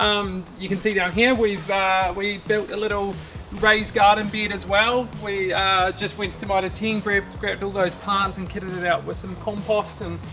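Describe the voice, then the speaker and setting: The speaker has a New Zealand accent and a moderate pace with hardly any pauses. Noticeable background noise runs throughout. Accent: New Zealand (Kiwi). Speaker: DIY home improvement vlogger. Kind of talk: casual walkthrough vlog. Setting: outdoors in backyard. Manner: casual, with many fillers.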